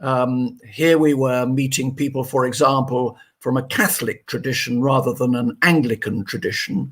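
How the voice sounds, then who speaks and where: With a southern English accent, a man speaks at a moderate pace and medium pitch, his intonation fairly even and hardly any pauses between words. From England, Wiltshire (Marlborough). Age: 70s. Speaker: retired doctor and charity founder. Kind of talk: interview.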